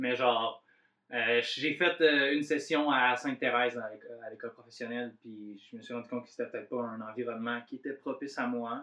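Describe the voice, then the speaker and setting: With an Abitibi accent, a man speaks at a medium pitch and a moderate pace, his intonation fairly even. His loudness swings widely. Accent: Quebec French, Abitibi. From Abitibi, Quebec. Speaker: podcast host. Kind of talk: casual chat.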